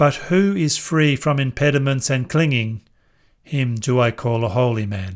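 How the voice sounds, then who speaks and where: A man with a normal speaking voice talks at a fairly slow pace, his medium pitch showing ordinary variation. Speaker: scripture narrator. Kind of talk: scripture audiobook reading, verses read aloud. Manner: measured, calm, formal; slow, even, meditative pacing.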